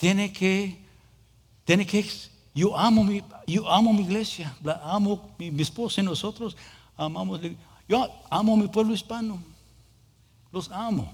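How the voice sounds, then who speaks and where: A man talks at a fairly slow pace with a high pitch and ordinary pitch variation. His speech has long, frequent pauses. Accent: English. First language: English (speaking Spanish). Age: 40s. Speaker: pastor. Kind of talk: sermon. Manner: halting.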